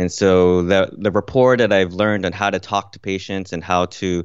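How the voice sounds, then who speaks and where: A man's very deep, low voice over a quiet background. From Kuwait, Filipino parents. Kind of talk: interview. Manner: halting, many fillers.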